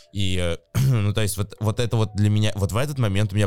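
A man's normal speaking voice, fairly low-pitched, at a fairly quick pace with ordinary pitch variation, on a very clean recording with a silent background. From Novosibirsk, Siberia, Russia. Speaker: advertising agency executive. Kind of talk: casual interview chat.

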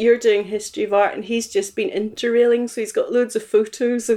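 A woman speaks with a Northern Irish accent at a moderate pace. Her pitch is fairly high, with ordinary variation. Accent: Northern Irish (Belfast). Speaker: interviewee recounting life story. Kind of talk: casual interview chat. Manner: hesitant with fillers (um).

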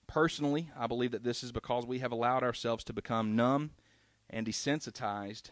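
In a very clean recording with a silent background, a man with an American accent talks at a fairly quick pace and a medium pitch. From South Carolina, US South. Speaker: street evangelist and anti-abortion activist. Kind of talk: reading prepared remarks; church testimony and ministry talk. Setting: church service. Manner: hesitant, many fillers.

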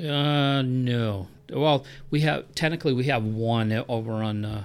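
The recording is very clean and the background silent. A man talks there with ordinary pitch variation. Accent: American. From New Hampshire, US (Milford). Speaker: public works director. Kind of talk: interview. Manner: halting.

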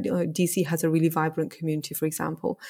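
A woman speaks with a northern English accent. The recording is very clean, with a silent background. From northern England, small working-class town. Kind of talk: interview.

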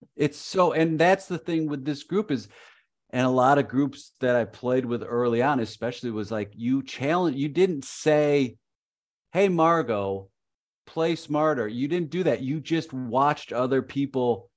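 A plain, everyday voice speaks at a fairly slow pace with lively intonation. The background is quiet. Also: man. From Chicago suburbs. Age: 50s. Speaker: improviser and improv coach. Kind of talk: casual interview.

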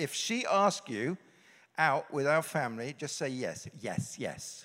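On a very clean recording with a silent background, a man with a British accent speaks in a fairly high voice with lively intonation. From England. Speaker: pastor.

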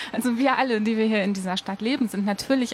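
Very fast talking from a woman, with noticeable background noise. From Ruhr area, Germany. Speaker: cycling advocate. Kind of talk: radio interview. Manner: animated.

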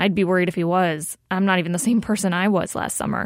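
Recorded dry and close with no echo against a silent background in a very clean recording, a woman with an unremarkable speaking voice talks at a moderate pace, medium in pitch with ordinary pitch variation. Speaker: radio producer and co-host. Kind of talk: radio narration and interview.

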